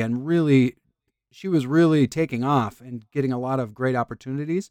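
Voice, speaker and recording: On a very clean recording with a silent background, a plain, everyday voice with an American accent moves at a fairly quick pace with ordinary pitch variation. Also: man. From Michigan's Upper Peninsula. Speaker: songwriter. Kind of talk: casual interview.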